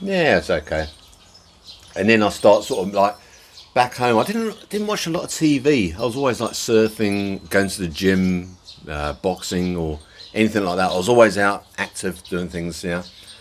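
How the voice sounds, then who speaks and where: A man speaks at a moderate pace in a fairly low voice. His pitch varies in an ordinary way, and noticeable background noise is present. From Jersey, Channel Islands. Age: 50s. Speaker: expat vlogger. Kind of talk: casual vlog monologue. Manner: rambling, with many fillers.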